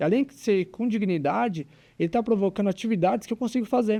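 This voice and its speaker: Over a quiet background, a man with a high pitch and a dark, mellow tone talks at a fairly quick pace with lively intonation. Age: 20s. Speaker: physical education teacher and business owner. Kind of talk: casual interview.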